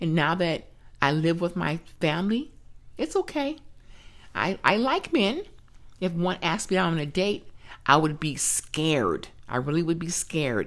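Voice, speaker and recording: Speaking at a moderate pace, a woman uses lively intonation and a fairly low pitch. She takes long, frequent pauses. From US West Coast, California. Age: 60s. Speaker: grandmother sharing abuse survivor story. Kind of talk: testimony.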